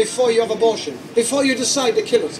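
A man speaking very fast at an extremely high pitch, with ordinary pitch variation and noticeable background noise. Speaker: street preacher. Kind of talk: open-air street preaching. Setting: outdoors.

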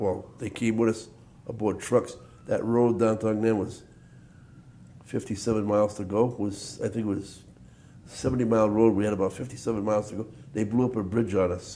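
Speaking at a fairly quick pace, a man uses a fairly low pitch, a dark, mellow tone and fairly even intonation.

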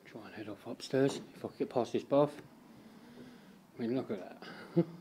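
A man talks at a moderate pace with a dark, mellow tone.

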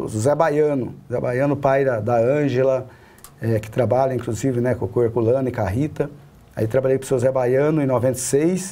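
A man speaks in a dark, mellow tone at a fairly slow pace. His pitch variation is ordinary. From Paraná, Brazil (rural, small town); moved to São Paulo state at 16. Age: 40s. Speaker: city councillor; city councillor, interview guest. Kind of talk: interview; interview answer. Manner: halting, many fillers and repetitions. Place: studio.

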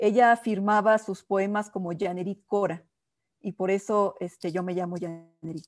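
A woman speaks at a fairly slow pace with fairly even intonation, the sound dry with no echo and the background quiet. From Mexico City. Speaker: diplomat. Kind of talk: interview. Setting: video call. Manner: halting. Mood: warm, smiling, reminiscing. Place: home room. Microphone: earbuds.

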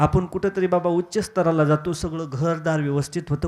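A man with a fairly high pitch sounds animated, his pitch varying in an ordinary way. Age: 20s. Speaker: kirtan preacher. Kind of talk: devotional sermon (kirtan).

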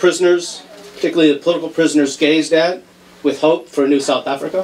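A man at a very fast pace in a monotone, flat intonation, with light background noise. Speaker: criminal justice professor. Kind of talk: slide presentation. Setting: event hall with audience, microphone. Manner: casual, joking. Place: hall.

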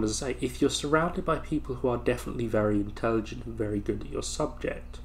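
Light background noise sits behind a man speaking at a fairly quick pace. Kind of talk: casual vlog chat. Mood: reflective, calm. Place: home room. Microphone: webcam.

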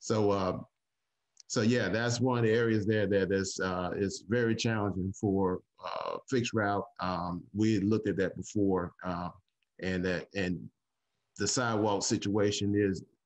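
Against a quiet background, a man with a normal speaking voice talks at a fairly slow pace, his fairly low pitch held in fairly even intonation. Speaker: city transit analyst. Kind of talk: public meeting remarks. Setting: video call. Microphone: video call.

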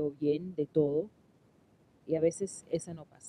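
Dry with no echo, the recording carries a woman's very deep, low voice with a dark, mellow tone. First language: English (speaking Spanish). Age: 40s. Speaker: YouTuber; podcaster practicing Spanish. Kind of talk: casual monologue. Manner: halting, many fillers. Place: home room. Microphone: studio mic.

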